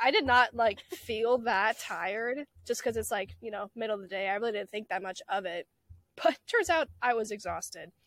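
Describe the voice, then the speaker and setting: A woman with an ordinary speaking voice, lively intonation, and big swings in loudness. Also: dry, close sound with no echo. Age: young. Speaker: college student podcast co-host. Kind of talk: casual chat.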